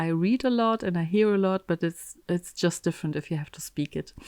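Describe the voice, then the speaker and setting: In a very clean recording with a silent background and a dry, close sound free of echo, a woman speaks with a German accent at a fairly low pitch. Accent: German accent, trouble with th sound. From Germany. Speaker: embroidery teacher. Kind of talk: tutorial. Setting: home craft room, window open. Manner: hesitant, many fillers.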